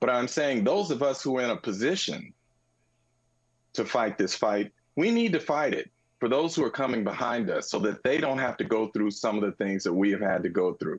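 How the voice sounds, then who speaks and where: Speaking in an ordinary speaking voice with an American accent, a man talks at a fairly quick pace and medium pitch, with lively intonation and very even loudness against a quiet background. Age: 60s. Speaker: sports journalist. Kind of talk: interview.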